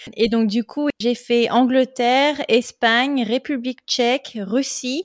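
A woman speaks at a very slow pace in a high pitch with fairly even intonation. The recording is very clean, with a silent background and a dry, close sound with no echo. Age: 20s. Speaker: podcast host, expatriate. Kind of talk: interview, personal storytelling.

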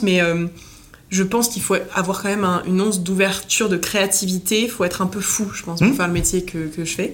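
A woman speaks at a medium pitch and a fairly quick pace, her intonation fairly even. Room echo is audible, with noticeable background noise. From southern France, Nice. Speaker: hotel marketing director. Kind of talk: interview conversation.

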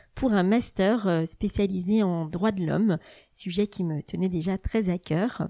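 The recording is very clean, with a silent background. A woman speaks fairly slowly in a dark, mellow tone. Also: dry, close sound with no echo. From France, Burgundy. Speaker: family lawyer. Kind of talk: interview. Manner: hesitant, frequent fillers.

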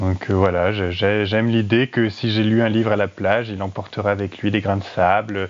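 Hardly any pauses break up this moderate pace. The intonation is monotone and flat. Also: man, fairly low pitch for a man. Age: 30s. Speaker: listener contributor. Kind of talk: personal anecdote.

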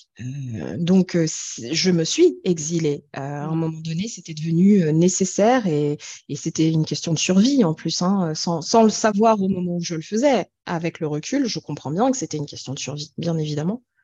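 A dark, mellow, somewhat breathy voice with lively intonation, big swings in loudness and a moderate pace. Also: woman, fairly low pitch for a woman. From France. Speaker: singing therapist and singer. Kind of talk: interview.

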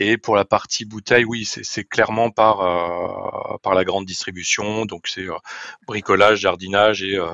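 A man talks at a fairly slow pace. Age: 40s. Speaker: sales director. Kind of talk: interview. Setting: remote call. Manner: halting.

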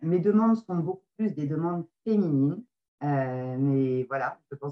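With ordinary pitch variation, a woman speaks in a normal speaking voice. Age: 40s. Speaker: medium and card reader. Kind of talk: interview.

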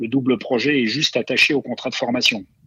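Talking fairly quickly, a man uses a medium-pitched voice. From Moselle, eastern France. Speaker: retired footballer and players' union leader. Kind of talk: interview. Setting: remote call. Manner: halting, many repetitions.

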